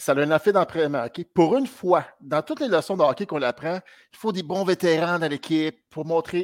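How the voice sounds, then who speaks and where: Animated and high-pitched, a man talks at a moderate pace on a very clean recording with a silent background and a dry, close sound with no echo. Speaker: hockey fan caller. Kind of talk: casual chat.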